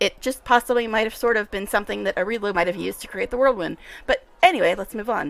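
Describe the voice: The clip is plain reading aloud. The speaker reads the text straight through.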